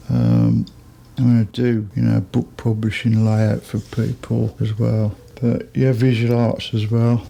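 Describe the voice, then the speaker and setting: Against noticeable background noise, a man with a Birmingham accent talks at a fairly slow pace with very even loudness. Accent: Birmingham (Brummie) English. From Birmingham, England. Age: 60s. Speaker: musician. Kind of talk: casual chat. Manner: informal, rambling with fillers.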